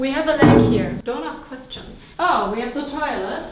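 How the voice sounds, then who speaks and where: Speaking at a fairly slow pace with a non-native accent, a woman is heard over noticeable background noise with audible room echo. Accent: light foreign (non-native) accent in English. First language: not English; English is third language. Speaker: vlogger, entrepreneur. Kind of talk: travel vlog, casual talk to camera. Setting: indoors in an apartment. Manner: animated, excited.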